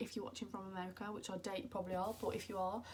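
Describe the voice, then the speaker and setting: Somewhat breathy, the voice carries a British accent and ordinary pitch variation. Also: woman. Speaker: beauty vlogger. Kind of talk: casual chat. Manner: animated.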